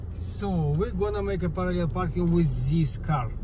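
Noticeable background noise runs under a dry sound that has no echo. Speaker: driver demonstrating parking. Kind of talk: tutorial. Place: car.

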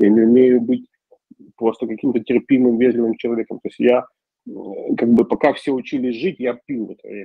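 A man with a medium-pitched voice talks at a fairly quick pace with fairly even intonation, big swings in loudness, and long, frequent pauses. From Ukraine. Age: 40s. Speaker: recovering alcoholic speaker at support group. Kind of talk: personal testimony.

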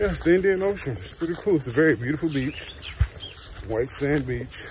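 A man speaks in a dry sound with no echo, against noticeable background noise. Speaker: travel vlogger. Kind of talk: casual vlog chat. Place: garden. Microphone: phone near.

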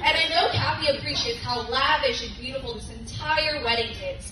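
Clear background noise sits behind a woman speaking at a high pitch. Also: ordinary pitch variation, moderate pace.

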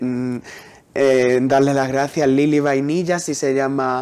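An unremarkable speaking voice from a man, fairly high-pitched and at a fairly slow pace. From Huelva, Andalusia, Spain; Andalusia, Spain. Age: young. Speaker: poet. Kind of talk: interview. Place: studio. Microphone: lapel.

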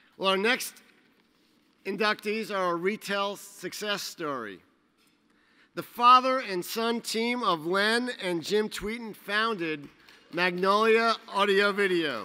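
With a raised, projected voice, a man talks at a very slow pace with long, frequent pauses, his high pitch carrying a bright, sharp tone and ordinary pitch variation. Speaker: trade association executive. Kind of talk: awards ceremony introduction. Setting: stage with audience. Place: hall. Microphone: podium.

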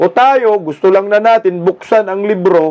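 A man speaks at a fairly slow pace, his tone animated and his intonation lively. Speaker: political commentator vlogger. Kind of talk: commentary voiceover over rally footage, opinionated. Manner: animated, sarcastic, emphatic with repeated phrases; indignant, mocking, rally-speech style.

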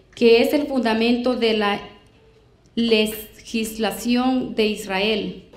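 A woman speaks at a very slow pace with monotone, flat intonation amid audible room echo. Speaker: scripture reader in a debate. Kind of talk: reading aloud. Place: hall.

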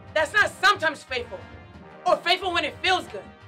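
Against faint music in the background, a woman's raised, projected voice swings very widely in pitch. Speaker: Marine Corps drill instructor. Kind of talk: motivational address to camera. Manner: commanding, firm. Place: studio.

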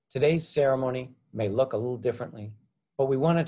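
Very fast and somewhat breathy, a man speaks with ordinary pitch variation. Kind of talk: formal welcome speech. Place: home room. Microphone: webcam.

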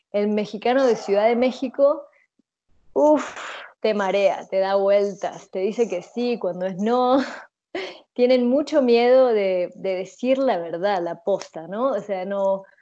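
A woman speaks very slowly. Her tone is dark and mellow. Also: ordinary pitch variation. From Uruguay. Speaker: interviewee, expatriate. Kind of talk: interview answers. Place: home room. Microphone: earbuds.

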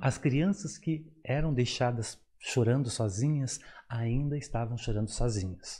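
A somewhat breathy man speaks at a fairly slow pace with a dark, mellow tone. His pitch is medium with ordinary variation. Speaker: psychologist and professor; professor. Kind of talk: interview on psychology. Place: studio. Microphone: studio mic.

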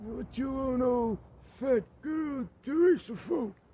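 Using a put-on character voice, a man speaks at a fairly slow pace with an extremely high pitch. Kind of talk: comic old-man impression. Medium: comedy sketch. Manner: slow, folksy, dialect-heavy.

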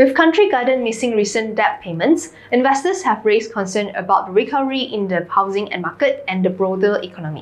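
A woman speaks at a fairly quick pace with hardly any pauses, her fairly high voice moving in lively intonation. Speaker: finance news presenter. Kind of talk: newsreading: scripted financial bulletin, polished and businesslike. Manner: steady, even, formal; brisk, crisp delivery. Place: studio.

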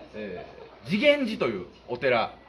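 A man's pitch swings very widely. Light background noise can be heard. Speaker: comedian. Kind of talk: casual location vlog talk. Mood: light comic tone. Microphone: camera far.

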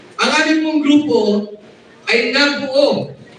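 A man's pitch swings very widely, with audible room echo and noticeable background noise in the recording. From Zamboanga region, Philippines. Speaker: activist group leader. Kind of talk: rally speech.

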